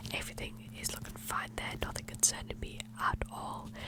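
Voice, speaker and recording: Someone whispers at a moderate pace. Noticeable background noise runs underneath. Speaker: ASMR content creator playing a clinician. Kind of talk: ASMR roleplay, soft-spoken medical exam. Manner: soft-spoken.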